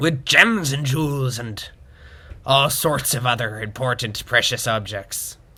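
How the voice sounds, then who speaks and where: Here a man puts on a character voice with a theatrical tone. His pitch is medium and his pace fairly slow. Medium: audio drama. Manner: hammy, theatrical pirate talk.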